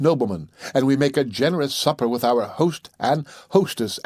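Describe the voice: Ordinary pitch variation in plain reading aloud.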